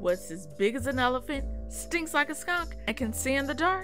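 Music plays in the background. A woman speaks in an upbeat, playful tone. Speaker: voice actor. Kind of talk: TV commercial read.

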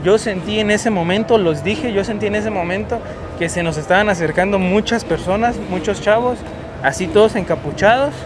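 Over clear music in the background, a man talks at a high pitch and a fairly quick pace. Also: ordinary pitch variation. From Mexico. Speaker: travel vlogger. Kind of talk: vlog narration. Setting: outdoors, city streets at night. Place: street. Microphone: phone near.

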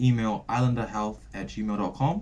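Somewhat breathy, a man speaks at a moderate pace and medium pitch over light background noise. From Samoa. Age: 20s. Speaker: fitness vlogger, university student; fitness channel host. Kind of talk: channel intro talk to camera. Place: home room. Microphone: camera far.

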